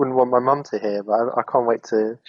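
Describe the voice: Speaking at a fairly quick pace, a man uses a medium pitch with ordinary pitch variation and vocal fry, in a dry, close sound with no echo.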